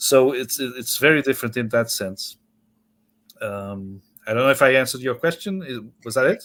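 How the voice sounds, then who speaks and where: A Portuguese accent at a moderate pace with long, frequent pauses, on a very clean recording with a silent background. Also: man, medium pitch for a man, ordinary pitch variation. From Portugal. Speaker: author. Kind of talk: interview. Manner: halting, many repetitions.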